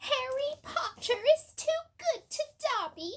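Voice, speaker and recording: In a put-on character voice, a woman sounds squeaky and extremely high-pitched. Her pace is fairly slow. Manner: tearful, overjoyed.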